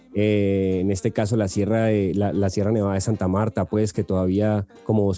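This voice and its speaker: Music plays in the background as a man with a fairly low pitch speaks at a fairly quick pace in a monotone, flat intonation. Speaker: podcast host. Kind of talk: casual interview. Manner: halting, many fillers and repetitions.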